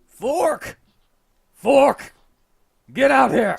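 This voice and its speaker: A man puts on a character voice that is loud and raspy. His pitch is extremely high. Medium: actual play. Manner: loud, barking.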